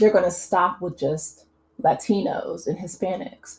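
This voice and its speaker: Somewhat breathy, a woman with an American accent talks at a fairly slow pace in a dark, mellow tone with ordinary pitch variation. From US Midwest. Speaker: YouTube commentator. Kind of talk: casual commentary monologue. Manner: hesitant, many fillers.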